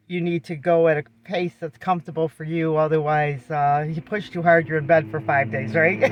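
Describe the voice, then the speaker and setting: Through noticeable background noise, a woman speaks at a moderate pace with a very deep, low pitch and ordinary pitch variation. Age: 60s. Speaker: vlogger and caregiver for her husband. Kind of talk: casual vlog talk. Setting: in a car. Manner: conversational, with frequent fillers.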